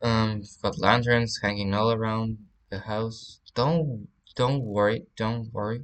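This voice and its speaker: The speaker talks at a fairly slow pace with a slight Spanish accent. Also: man. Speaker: gaming YouTuber. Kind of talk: game walkthrough commentary. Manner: halting, many fillers.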